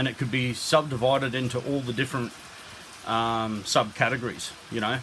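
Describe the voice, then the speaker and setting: Monotone and flat in intonation, a man with an Australian accent speaks at a medium pitch. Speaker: YouTuber. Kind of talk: casual monologue. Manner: loud.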